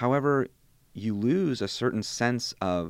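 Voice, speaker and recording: Against a quiet background, a man speaks with ordinary pitch variation. The sound is dry and close, with no echo. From Bosnian refugee, born in Germany, raised in St. Louis, US. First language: Bosnian. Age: 20s. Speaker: PhD student. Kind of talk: academic conversation. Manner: halting, many repetitions.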